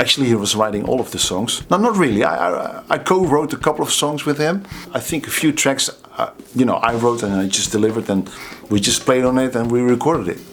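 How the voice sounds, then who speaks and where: Over noticeable background noise, a man with a Dutch accent talks at a very fast pace in a medium pitch, his intonation lively. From Netherlands, Waalwijk. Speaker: drummer and drum teacher. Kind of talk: casual storytelling. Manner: halting, many fillers and repeats.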